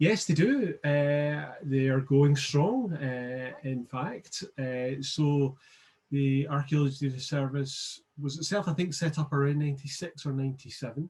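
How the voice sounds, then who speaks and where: A somewhat breathy man speaks with a Scottish accent. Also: fairly high pitch for a man, fairly even intonation, fairly slow pace. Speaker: archaeologist and digital preservation specialist. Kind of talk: interview. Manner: halting.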